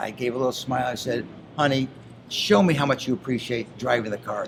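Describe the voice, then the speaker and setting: Noticeable background noise is audible throughout. A man speaks at a fairly quick pace. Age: 60s. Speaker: reality TV personality. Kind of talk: casual interview chat. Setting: interview show.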